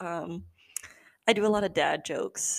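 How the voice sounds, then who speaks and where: This is a woman speaking with a Californian accent. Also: very clean recording, silent background. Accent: Californian American English. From Southern California. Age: 20s. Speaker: podcast host. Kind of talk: casual monologue. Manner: animated.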